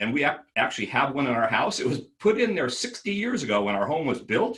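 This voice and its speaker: A man speaks in an ordinary speaking voice. His intonation is lively. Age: 60s. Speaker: architect. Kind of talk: interview.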